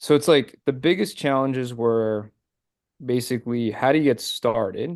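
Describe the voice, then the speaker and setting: With an American accent and an unremarkable speaking voice, a man talks at a moderate pace and medium pitch with ordinary pitch variation over a quiet background. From Pennsylvania, Philadelphia area. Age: 30s. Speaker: financial advisor. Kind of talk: podcast interview. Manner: casual, many fillers.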